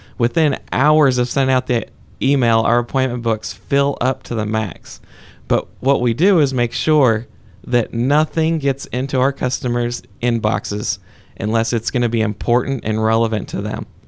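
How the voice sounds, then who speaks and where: This is a man with an unremarkable speaking voice at a medium pitch. His pace is moderate and his pitch variation ordinary. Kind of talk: conversational interview answers, plain-spoken business talk. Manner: relaxed, folksy and earnest, with frequent 'uh' and 'you know' fillers.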